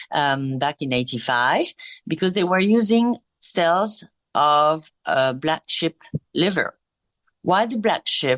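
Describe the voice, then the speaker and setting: With a French accent, the speaker moves at a very slow pace and leaves long, frequent pauses. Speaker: skincare brand executive. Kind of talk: interview. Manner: hesitant, many fillers.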